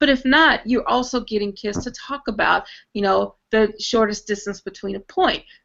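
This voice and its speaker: A woman's voice sits at a fairly high pitch, with ordinary pitch variation. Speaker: math teacher presenter. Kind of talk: online presentation. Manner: fast; animated.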